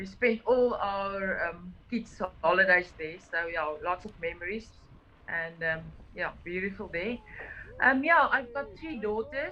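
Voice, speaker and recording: Speaking fairly slowly at a medium pitch, a woman with an Afrikaans South African accent uses lively intonation and big swings in loudness. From South Africa, Klein Karoo (Oudtshoorn). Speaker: cyclist on a charity ride. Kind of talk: interview. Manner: halting.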